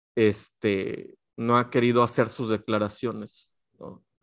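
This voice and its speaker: A man talks with a Mexican accent. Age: 40s. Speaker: podcast co-host. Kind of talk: casual chat.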